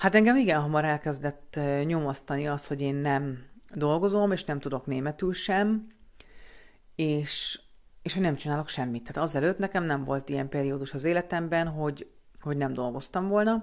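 Long, frequent pauses break up a woman's speech at a moderate pace. Her pitch is very deep and low, with ordinary variation. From Hungary, Budapest. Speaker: vlogger. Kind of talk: personal storytelling monologue. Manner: hesitant, many fillers and repetitions.

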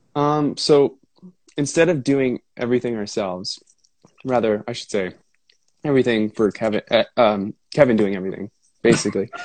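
A man with medium pitch and ordinary pitch variation speaks at a moderate pace with long, frequent pauses, in a dry, close sound with no echo. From Ontario, Canada. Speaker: rock drummer and singer. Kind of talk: casual chat. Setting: video call. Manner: rambling, soothing.

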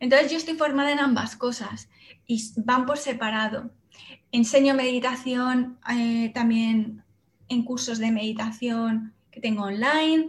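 Speaking with a Castilian accent, a woman keeps her intonation fairly even. Her pitch is high and her pace fairly slow. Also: big swings in loudness. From Spain, Salamanca. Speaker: meditation teacher. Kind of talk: interview.

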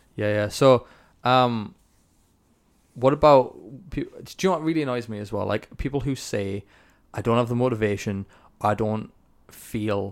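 Recorded very cleanly with a silent background, a man of medium pitch talks at a moderate pace with ordinary pitch variation and long, frequent pauses. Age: 20s. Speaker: podcast host. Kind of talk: interview conversation.

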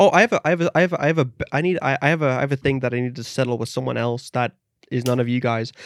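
Speaking at a very fast pace, a man uses a medium pitch with ordinary variation in a dry, close sound with no echo. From Netherlands. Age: 20s. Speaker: podcast host. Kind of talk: casual chat.

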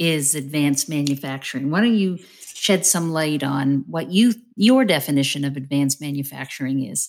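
Here a woman speaks with a very deep, low pitch. The recording is very clean, and the background is silent. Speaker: podcast host and company CEO. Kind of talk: interview conversation.

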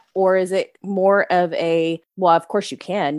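A woman with a Texan accent and a fairly low voice, on a very clean recording with a silent background. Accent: Texan (US Southern). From Texas. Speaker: podcast host. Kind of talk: casual chat.

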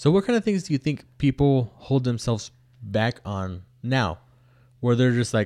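A man at medium pitch on a very clean recording with a silent background, the sound dry and close with no echo. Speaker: podcast co-host. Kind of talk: casual chat. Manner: fast talker.

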